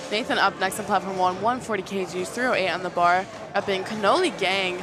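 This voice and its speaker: Music plays behind a woman speaking at a fairly quick pace. Her intonation stays fairly even, and the room echo is audible. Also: medium pitch for a woman. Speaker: powerlifting meet commentator. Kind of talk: live commentary. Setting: powerlifting meet livestream. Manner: fast.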